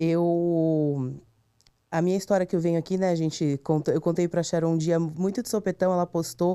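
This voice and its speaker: The recording is very clean, with a silent background. A woman speaks at a moderate pace in a dark, mellow tone with fairly even intonation. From interior of São Paulo state, Brazil (Tupã). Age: 30s. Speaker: guest sharing personal story, advertising professional. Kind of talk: testimony. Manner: halting, with hesitations.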